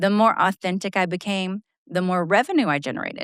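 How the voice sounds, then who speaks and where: On a very clean recording with a silent background, a woman speaks at a fairly quick pace. Her medium pitch has ordinary variation, and the sound is dry and close with no echo. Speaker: podcast host and sales coach. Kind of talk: solo podcast monologue. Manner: loud.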